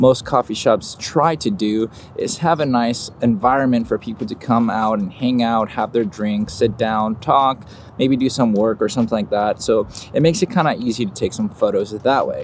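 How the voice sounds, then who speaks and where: Over light background noise, a man speaks at a moderate pace with ordinary pitch variation and a dry sound with no echo. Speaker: photographer vlogger. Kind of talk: casual vlog chat. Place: garden. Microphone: phone near.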